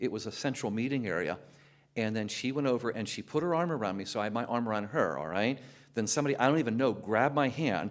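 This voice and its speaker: The very clean recording with a silent background carries lively intonation at a very fast pace. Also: man. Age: 60s. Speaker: teacher and former pastor. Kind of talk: testimony.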